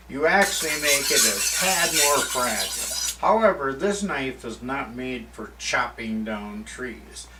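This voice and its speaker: A man with an American accent at a fairly slow pace, with big swings in loudness, hardly any pauses, and noticeable background noise. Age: 60s. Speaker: woodsman and author. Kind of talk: tutorial. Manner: casual, unscripted one-take talk.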